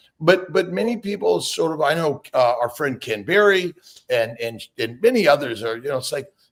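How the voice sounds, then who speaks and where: A man talks at a moderate pace with a fairly high pitch. His pitch swings very widely. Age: 60s. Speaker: fertility doctor. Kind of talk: casual interview on a live stream. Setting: live online video stream. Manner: halting, many repeats and fillers.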